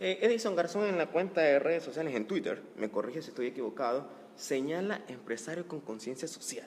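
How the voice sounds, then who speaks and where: Against noticeable background noise, a man with a fairly high pitch speaks fairly quickly with lively intonation. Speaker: interviewer, talk show host. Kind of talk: interview.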